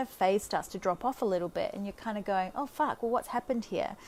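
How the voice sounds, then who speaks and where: A speaker with an Australian accent talks at a very fast pace, with ordinary pitch variation. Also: woman. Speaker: life coach. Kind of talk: casual monologue. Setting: Facebook live video.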